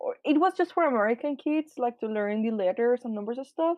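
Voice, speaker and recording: This is a woman speaking with a Spanish accent. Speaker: artist. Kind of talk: casual chat.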